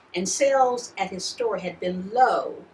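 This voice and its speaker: A woman with an American accent is heard against noticeable background noise. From Ohio Valley, US Midwest. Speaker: poet. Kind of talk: reading aloud.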